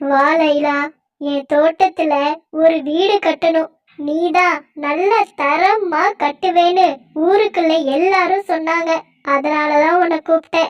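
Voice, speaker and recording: A woman uses a cartoonish character voice with an extremely high pitch at a very slow pace. The sound is dry and close with no echo. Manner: authoritative.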